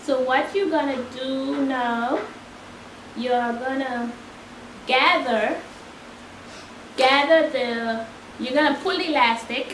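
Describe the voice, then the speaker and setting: Quiet and high-pitched, a woman talks very slowly with long, frequent pauses and ordinary pitch variation, amid audible room echo and noticeable background noise. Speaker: sewing tutorial creator. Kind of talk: tutorial.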